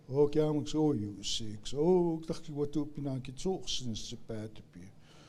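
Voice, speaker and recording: Pitched fairly high, a man's voice with a dark, mellow tone moves at a moderate pace, with lively intonation and big swings in loudness. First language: Blackfoot. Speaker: elder. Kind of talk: prayer.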